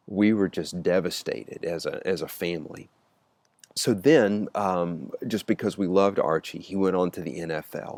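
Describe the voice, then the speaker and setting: Speaking with a Mississippi accent, a man has a very deep, low pitch and ordinary pitch variation. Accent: Southern US (Mississippi). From US Deep South, Mississippi. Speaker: youth ministry speaker. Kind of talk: personal storytelling. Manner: halting, many fillers.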